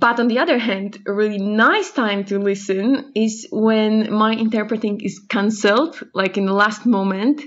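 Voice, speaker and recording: With a Polish accent, a woman speaks at a moderate pace in a fairly high, somewhat breathy voice, her pitch varying in an ordinary way and hardly any pauses between words. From Poland. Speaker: sign language interpreter, listener. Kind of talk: recorded voicemail. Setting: voicemail recording.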